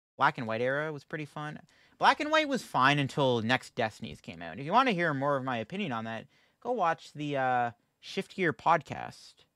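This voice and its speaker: The voice comes at a fairly quick pace, with a dry sound, no echo, and a quiet background. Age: 20s. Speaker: gaming streamer. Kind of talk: live stream gameplay commentary. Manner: fast; casual. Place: home room. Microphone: studio mic.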